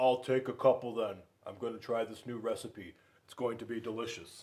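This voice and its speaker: Putting on a character voice, a man speaks at a fairly quick pace and a medium pitch. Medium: read story. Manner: gruff, grumpy.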